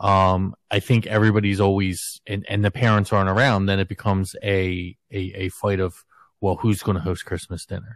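Over a quiet background with a dry, close sound and no echo, a man speaks at a moderate pace in a fairly low pitch with monotone, flat intonation. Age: 40s. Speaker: podcast host. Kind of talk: casual chat.

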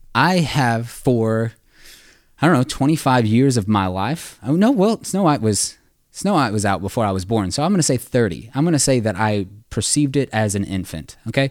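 An ordinary speaking voice moves at a moderate pace with lively intonation. The recording is very clean, with a silent background. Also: man, medium pitch for a man. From US South. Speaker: church staff member. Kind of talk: casual chat.

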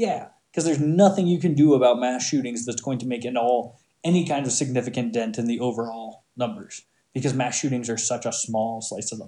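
A man with an American accent speaks at a fairly quick pace. His medium-pitched voice has a dark, mellow tone and ordinary pitch variation. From Montana. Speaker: podcast host. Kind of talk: solo opinion monologue. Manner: many filler words, um and uh.

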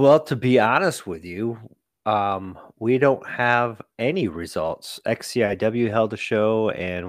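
Over a silent background in a very clean recording, a man with an unremarkable speaking voice talks at fairly low pitch with ordinary variation. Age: 40s. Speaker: wrestling referee and podcast co-host. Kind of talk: casual chat.

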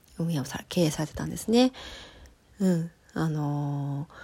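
A somewhat breathy voice with a dark, mellow tone moves at a moderate pace with ordinary pitch variation, in a very clean recording with a silent background. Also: woman. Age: 30s. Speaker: podcast host, personal coach and metalwork artist. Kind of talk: casual solo talk. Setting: home recording.

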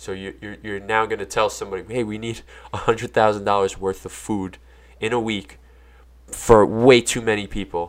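A man talks at a fairly quick pace in a fairly low pitch, his intonation monotone and flat. The recording is very clean with a silent background, and his loudness swings widely. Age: 30s. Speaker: musician. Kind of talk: casual chat. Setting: studio.

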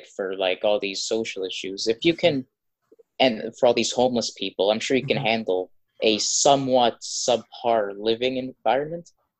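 A man's plain, everyday voice at medium pitch, dry and close with no echo. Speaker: podcast co-host. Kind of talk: casual chat.

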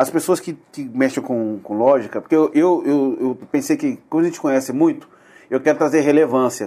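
A man's fairly high voice, dark and mellow in tone, moves at a moderate pace with ordinary pitch variation. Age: 40s. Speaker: podcast host. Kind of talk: casual chat.

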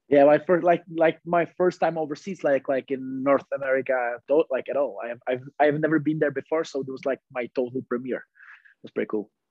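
This speaker talks at a fairly quick pace with a Czech accent. The intonation stays fairly even while the loudness swings widely. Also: man, fairly high pitch for a man. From Czech Republic. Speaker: floorball player. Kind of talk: casual chat. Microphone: poor sound quality.

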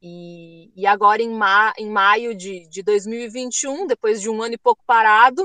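A woman's fairly high, bright, sharp voice at a fairly slow pace with ordinary pitch variation, in a dry, close sound with no echo. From Rio Grande do Sul, Brazil. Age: 30s. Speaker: travel author. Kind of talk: interview.

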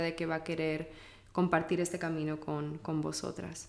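A woman talks at a fairly low pitch, with audible echo from the room. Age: young. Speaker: podcast host. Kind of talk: interview.

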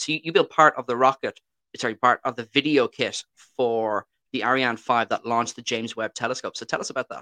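Against a quiet background, a man with an Irish accent talks at a fairly quick pace in a bright, sharp tone with fairly even intonation. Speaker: podcast host. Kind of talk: casual interview.

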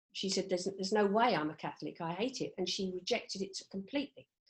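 She speaks at a fairly quick pace with a medium pitch. Hers is a plain, everyday voice. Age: 60s. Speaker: HR head and grandmother. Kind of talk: casual chat.

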